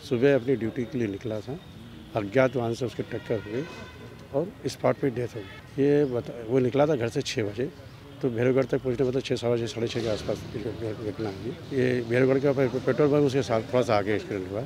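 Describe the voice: A man speaks at a fairly quick pace. His tone is slightly mellow. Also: medium pitch for a man, ordinary pitch variation.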